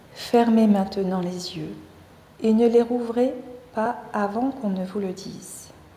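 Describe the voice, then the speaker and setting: A woman with a fairly high pitch talks at a very slow pace, leaving long, frequent pauses, her intonation fairly even but her loudness swinging widely, with audible room echo and noticeable background noise. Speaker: yoga teacher. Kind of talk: guided meditation. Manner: soft-spoken.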